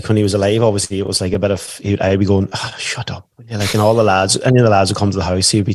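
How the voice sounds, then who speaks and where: In a Donegal Irish accent, a man speaks with a fairly low pitch and monotone, flat intonation, the sound dry and close with no echo. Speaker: stay-at-home dad and musician. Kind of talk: podcast interview. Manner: casual, conversational.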